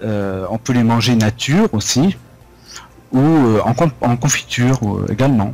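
This man talks at a fairly slow pace with long, frequent pauses. His pitch sits at a medium level and varies in an ordinary way. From France, Lorraine (Vosges). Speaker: French teacher. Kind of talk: interview. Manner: hesitant, with fillers.

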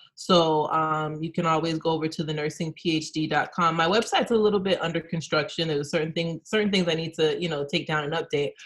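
A woman's plain, everyday voice, fairly low in pitch, fairly quick with hardly any pauses and fairly even intonation. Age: 30s. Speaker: nurse and PhD student. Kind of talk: casual interview.

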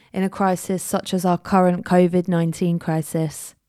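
A woman with a British accent speaks at a moderate pace and medium pitch. The recording is very clean with a silent background, and the sound is dry and close with no echo. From Jersey, Channel Islands. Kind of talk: live-stream talk with Q&A; scripted podcast intro. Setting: Facebook Live video recording.

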